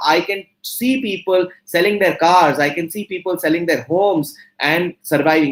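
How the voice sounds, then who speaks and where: Here a man talks at a high pitch. His pace is moderate, with ordinary pitch variation. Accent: Indian. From India. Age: 40s. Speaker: entrepreneur and motivational speaker. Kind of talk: guest talk to students. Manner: animated.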